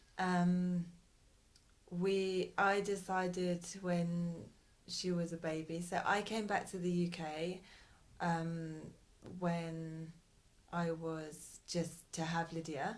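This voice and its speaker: A woman with a fairly low voice speaks very slowly in a flat monotone, leaving long, frequent pauses. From Britain. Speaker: parent. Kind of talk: interview. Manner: hesitant.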